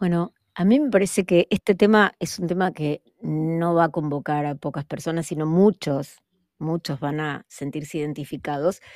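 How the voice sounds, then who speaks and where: In a very clean recording with a silent background, a woman talks at a moderate pace with a fairly low pitch and ordinary pitch variation. The sound is dry and close, with no echo. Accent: Argentine. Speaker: podcast co-host. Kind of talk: casual chat.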